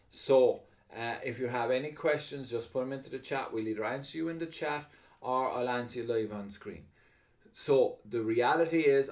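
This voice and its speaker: A man with an Irish accent speaks at a moderate pace, his medium pitch showing ordinary pitch variation. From Ireland. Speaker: online presenter taking chat questions.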